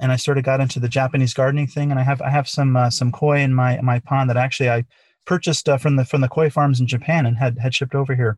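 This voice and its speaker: Somewhat breathy, a man speaks very fast in a flat monotone with very even loudness. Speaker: company founder and CTO. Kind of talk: interview, conversational.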